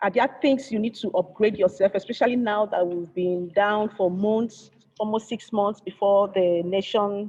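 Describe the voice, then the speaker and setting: The woman here has a dark, mellow tone. She speaks at a moderate pace with fairly even intonation. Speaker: engineer and conference speaker. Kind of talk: conference presentation. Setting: virtual conference.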